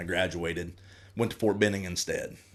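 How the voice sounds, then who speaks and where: A man talks at a fairly quick pace with a Southern accent. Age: 30s. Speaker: firefighter and army veteran. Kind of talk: casual interview chat. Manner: halting.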